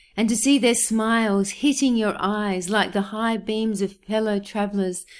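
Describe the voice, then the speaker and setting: In a very clean recording with a silent background, a woman with an Australian accent speaks at a fairly slow pace and a medium pitch, using fairly even intonation. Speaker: poet. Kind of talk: poetry reading.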